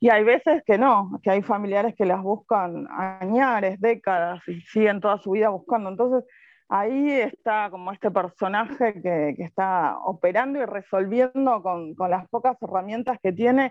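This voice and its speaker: A woman speaks with an Argentine accent and hardly any pauses. Her pitch varies in an ordinary way. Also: medium pitch for a woman, fairly slow pace. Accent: Rioplatense Argentine Spanish. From Argentina, Buenos Aires conurbano. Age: 40s. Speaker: novelist. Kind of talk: interview.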